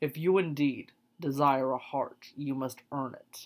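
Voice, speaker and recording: The speaker puts on a character voice pitched low-to-middle. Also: fairly slow pace. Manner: gruff.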